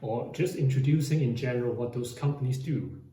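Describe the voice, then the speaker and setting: Audible room echo surrounds a man with fairly high pitch. He keeps a moderate pace and fairly even intonation. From Hong Kong. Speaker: finance YouTuber. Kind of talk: explainer monologue.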